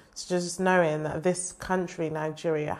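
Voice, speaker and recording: A normal speaking voice at a moderate pace. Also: woman. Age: 20s. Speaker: broadcaster. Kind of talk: personal video talk to camera.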